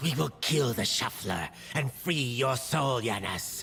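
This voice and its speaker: Putting on a character voice, a man speaks at a fairly slow pace in a medium pitch against clear background noise. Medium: video game. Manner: solemn, formal.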